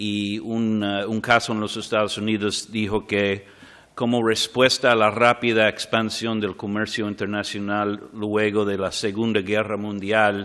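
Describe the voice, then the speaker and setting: With a non-native accent, a man talks at a fairly slow pace in a fairly low pitch, his intonation flat and monotone. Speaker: arbitration lawyer. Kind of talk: conference talk. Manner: halting.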